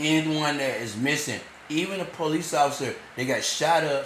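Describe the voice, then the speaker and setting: A man's fairly high voice with fairly even intonation at a moderate pace, amid noticeable background noise and audible room echo. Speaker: vlogger. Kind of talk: rambling monologue. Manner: halting, repeats words.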